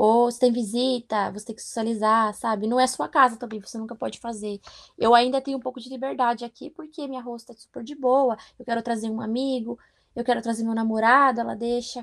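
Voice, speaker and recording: The loudness swings widely. The recording is very clean, with a silent background. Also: woman, fairly high pitch for a woman, fairly quick pace. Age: 20s. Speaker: au pair. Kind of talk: interview. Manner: animated.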